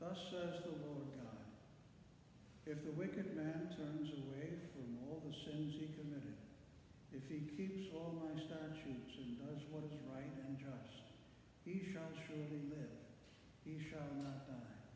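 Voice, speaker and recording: Speaking at a fairly slow pace with long, frequent pauses, a man keeps a fairly even intonation amid light background noise and strong room echo. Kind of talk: scripture reading. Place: church. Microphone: camera far.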